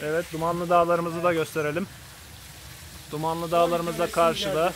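A man speaks at a high pitch and a fairly quick pace, with monotone, flat intonation. Noticeable background noise sits behind him. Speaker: cyclist vlogger, tour host. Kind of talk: casual talk to camera, vlog narration. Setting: outdoors, by a stream.

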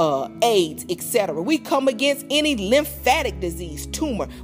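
A woman speaks at a moderate speed while music plays behind her. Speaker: prayer minister. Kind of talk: spoken prayer.

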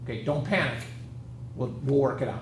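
Noticeable background noise behind a man speaking in a fairly high voice. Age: 50s. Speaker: high school math teacher. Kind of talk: lecture. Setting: video call. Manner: casual.

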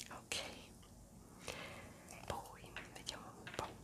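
A woman's whisper. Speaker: ASMR creator. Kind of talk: ASMR whispered talk to camera. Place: home room. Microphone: phone near.

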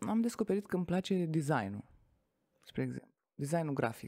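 Over a quiet background, a woman talks at a moderate pace. Her voice has a fairly low pitch. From Romania, Tecuci, Galați county; Romania. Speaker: network marketing entrepreneur; podcast guest. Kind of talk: interview. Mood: calm, reflective storytelling. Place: studio. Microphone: studio mic.

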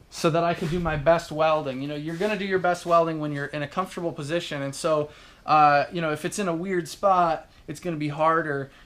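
A man's high-pitched voice. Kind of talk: casual tutorial explanation. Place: workshop. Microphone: phone near.

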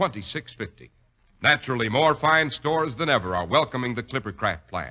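A man's creaky, fry-laden voice, bright and sharp in tone, with very wide pitch swings over a quiet background. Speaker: radio announcer. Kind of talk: radio commercial and announcer narration. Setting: studio. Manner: smooth, polished, formal sales-pitch delivery. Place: studio. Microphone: old recording.

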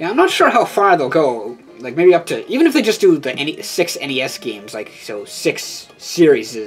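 A man speaks at a high pitch with very wide pitch swings and hardly any pauses. His pace is moderate, and music runs in the background. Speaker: toy collector video host. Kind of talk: casual toy review. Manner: hesitant, many fillers.

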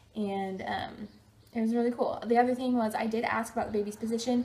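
Over light background noise, a woman with a fairly high pitch speaks at a fairly quick pace with fairly even intonation. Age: 20s. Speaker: vlogger. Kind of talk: casual talk to camera. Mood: cheerful, upbeat. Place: home room.

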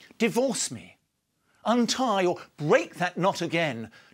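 Over music in the background, a man speaks very slowly in a high voice with very wide pitch swings. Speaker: poet and playwright. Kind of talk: poetry reading. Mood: earnest, pleading, intense. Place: studio. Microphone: lapel.

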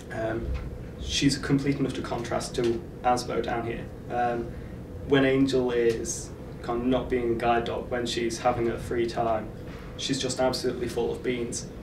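A man's medium-pitched, monotone, flat voice at a moderate pace amid noticeable background noise. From Isle of Man. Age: 20s. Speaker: university student; guide dog owner. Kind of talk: documentary interview. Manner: hesitant with frequent fillers. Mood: warm, fond. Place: studio.

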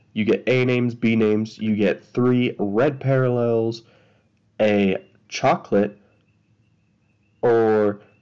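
Quiet and at a very even loudness, a man with a medium pitch speaks at a very slow pace with fairly even intonation and long, frequent pauses. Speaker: card collector YouTuber. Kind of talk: pack opening video. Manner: casual.

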